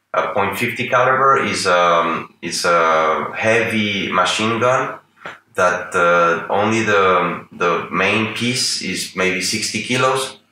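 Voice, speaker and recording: Audible room echo surrounds the voice, along with light background noise. The pitch varies in an ordinary way. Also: man. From Venezuela. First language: Spanish. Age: 40s. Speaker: artist and political analyst; political analyst. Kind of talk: interview. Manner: halting. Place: home room.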